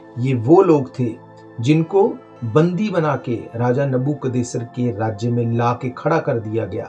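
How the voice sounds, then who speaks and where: A man's intonation is lively. Background music can be heard. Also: medium pitch for a man. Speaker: preacher. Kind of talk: sermon delivered to a congregation.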